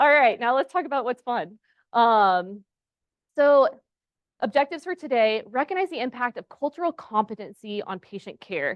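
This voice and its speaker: Speaking at a moderate pace in an American accent, a woman uses a high pitch with very wide pitch swings. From Texas. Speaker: pharmacist and clinical instructor. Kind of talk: conference presentation. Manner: casual, conversational.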